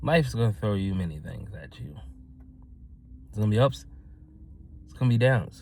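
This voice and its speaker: Amid audible room echo, a man with a fairly low pitch moves at a fairly quick pace, with long, frequent pauses, big swings in loudness and very wide pitch swings. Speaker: motivational vlogger. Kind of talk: motivational talk to camera. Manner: energetic.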